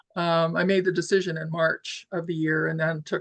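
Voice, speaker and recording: With vocal fry and a monotone, flat intonation, a woman speaks at a very deep, low pitch. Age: 70s. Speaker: professional handweaver. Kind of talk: interview conversation. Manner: halting, many repeated words and fillers.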